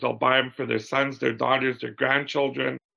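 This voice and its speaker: A man talks with a Canadian prairie accent. Vocal fry runs through his voice. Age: 60s. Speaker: business owner, glove manufacturer. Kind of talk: interview.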